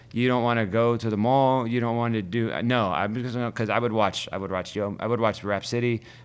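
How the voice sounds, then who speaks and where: With an American accent and a plain, everyday voice, a man speaks at a medium pitch and a fairly quick pace, using fairly even intonation and hardly any pauses. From Ohio, US (Youngstown). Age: 40s. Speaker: DJ. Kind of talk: casual interview chat.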